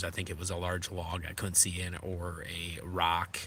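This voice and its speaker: A man with a slight Minnesota accent talks at a moderate pace. His very deep, low pitch carries a bright, sharp tone. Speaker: adventure motorcycle vlogger. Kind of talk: live stream chat with viewers. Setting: in a tent while camping. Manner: casual, hesitant with many fillers.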